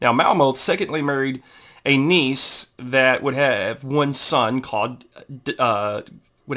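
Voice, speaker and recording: A bright, sharp tone in a Southern US accent, at a fairly slow pace, on a very clean recording with a silent background. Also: man. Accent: southern drawl. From Texas. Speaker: amateur family historian, YouTuber. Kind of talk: informal history talk reading from a book. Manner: halting, many fillers.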